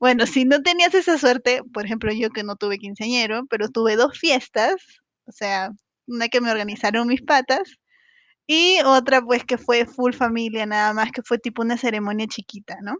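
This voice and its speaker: A high-pitched woman's voice with ordinary pitch variation, dry and close with no echo, over a quiet background. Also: moderate pace. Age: 30s. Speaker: podcaster. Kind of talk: casual monologue. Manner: animated.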